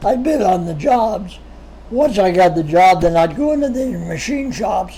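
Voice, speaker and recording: Lively intonation over noticeable background noise. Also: man, high pitch for a man, moderate pace. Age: 80s+. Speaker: retired machinist and entrepreneur being interviewed by his son. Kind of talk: interview, personal life story. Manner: conversational with frequent repetitions and fillers.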